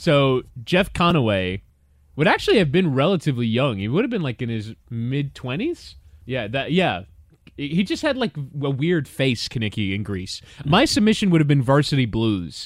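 In a very clean recording with a silent background, a man's voice makes very wide pitch swings. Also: fairly high pitch for a man, moderate pace. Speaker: podcast host. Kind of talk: casual banter, AMA.

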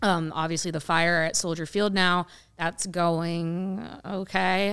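With an American accent, a woman uses an ordinary speaking voice that is fairly low in pitch with fairly even intonation. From rural Ohio, US Midwest. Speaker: women's soccer podcaster and writer. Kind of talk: casual panel discussion.

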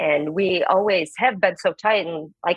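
A normal speaking voice at a moderate pace, with ordinary pitch variation. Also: woman. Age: 30s. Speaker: stay-at-home mom seeking advice. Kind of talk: advice call.

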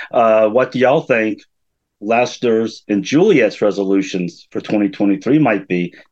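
In a quiet setting, a man talks at a moderate pace with medium pitch and ordinary pitch variation. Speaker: fan. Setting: video call. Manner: halting, many filler words.

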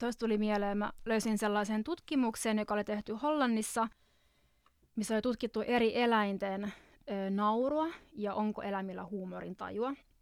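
A woman with an unremarkable speaking voice, fairly high in pitch, ordinary pitch variation, a moderate pace, and a very clean recording over a silent background. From Finland. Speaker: podcast host and visual artist. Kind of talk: casual chat. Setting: studio.

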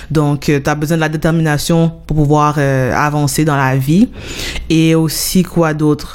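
Over noticeable background noise, a woman with a very deep, low pitch speaks at a very slow pace in a monotone, flat way, with very even loudness. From Montreal-Nord, Quebec. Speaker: radio show host. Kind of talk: interview. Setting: studio.

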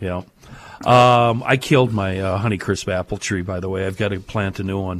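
An ordinary speaking voice moves at a moderate pace. Its intonation stays fairly even. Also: man, fairly low pitch for a man. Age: 50s. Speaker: radio host. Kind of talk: casual chat.

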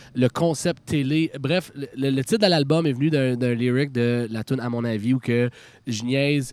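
Recorded with a dry, close sound and no echo, a man has an unremarkable speaking voice at medium pitch, fairly slow, with ordinary pitch variation. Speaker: rock band frontman. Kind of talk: casual chat. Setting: outdoors.

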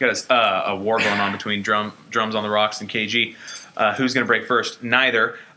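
A man at medium pitch and a fairly quick pace, over noticeable background noise. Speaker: podcast host. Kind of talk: casual comedic banter podcast.

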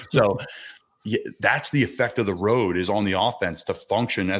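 A man with a fairly low pitch talks at a fairly quick pace in an unremarkable speaking voice. His intonation stays fairly even. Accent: American. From Philadelphia area. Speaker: NFL player. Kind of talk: casual interview.

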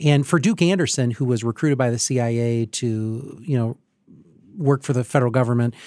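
A man's voice, an ordinary speaking voice at medium pitch with ordinary pitch variation, fairly quick pace, dry close sound with no echo, very clean recording and silent background. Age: 40s. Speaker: podcast host, hospital CEO. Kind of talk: casual interview. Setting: studio.

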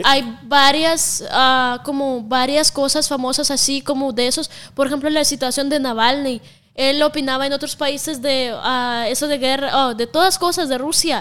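On a very clean recording with a silent background, a woman with a high pitch speaks at a moderate pace with fairly even intonation. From Russia (Siberia). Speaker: content creator. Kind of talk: casual chat.

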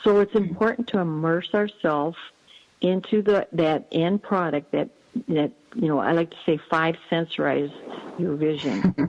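A woman talks at a moderate pace in a plain, everyday voice. Her pitch is fairly low, with ordinary pitch variation. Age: 60s. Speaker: life coach and author. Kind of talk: casual interview.

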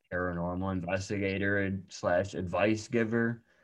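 A man with an ordinary speaking voice at a moderate pace, with ordinary pitch variation. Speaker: podcast host. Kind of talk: casual interview.

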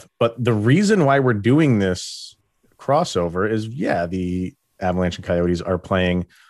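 A man with an ordinary speaking voice, fairly low-pitched and fairly slow, in a very clean recording with a silent background. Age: 30s. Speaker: sports podcast host. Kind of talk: casual chat.

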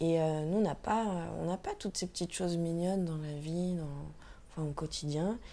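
A woman speaks in a fairly low pitch. Her tone is dark and mellow. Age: 20s. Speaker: tattoo artist. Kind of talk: casual interview. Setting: at home.

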